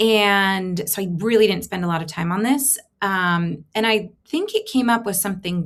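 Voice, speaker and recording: Against a quiet background, a woman talks at a medium pitch with ordinary pitch variation. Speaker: tech content creator; creator showing her AI experiments. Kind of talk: screen-share tutorial. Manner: casual, filler-heavy. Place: home room. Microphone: webcam.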